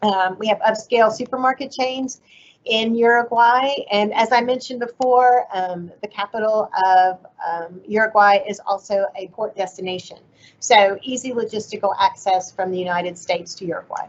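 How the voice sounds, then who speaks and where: Her plain, everyday voice sits at a fairly high pitch as a woman speaks at a moderate pace with ordinary pitch variation. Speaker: agricultural trade official. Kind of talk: webinar presentation.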